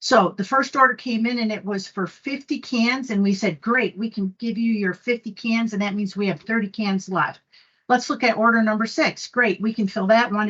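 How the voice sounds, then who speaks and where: A woman with a normal speaking voice, fairly high in pitch, at a moderate pace with ordinary pitch variation and hardly any pauses. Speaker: conference presenter. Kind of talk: technical presentation.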